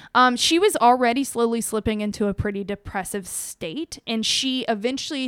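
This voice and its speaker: A woman with an unremarkable speaking voice at a moderate pace, her pitch varying in an ordinary way. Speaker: true crime podcast co-host. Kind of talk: storytelling narration of a true crime case. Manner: casual, with frequent fillers.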